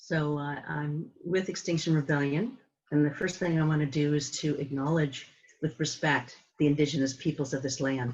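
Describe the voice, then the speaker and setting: A woman with an American accent speaks at a fairly quick pace, her very deep, low voice somewhat breathy. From San Francisco, California. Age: 70s. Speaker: climate activist. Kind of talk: presentation. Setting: video call.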